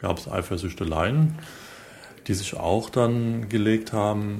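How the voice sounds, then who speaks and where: A fairly slow delivery against noticeable background noise. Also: man. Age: 40s. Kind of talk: interview answers.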